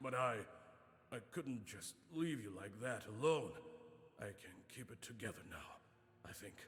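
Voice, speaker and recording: Using a raspy put-on character voice at a medium pitch, a man speaks with long, frequent pauses. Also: moderate pace. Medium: video game.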